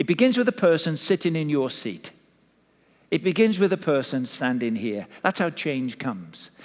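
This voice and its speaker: A man speaks in a Welsh accent at a fairly high pitch. His pitch swings very widely. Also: moderate pace. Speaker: pastor. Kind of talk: sermon. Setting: church.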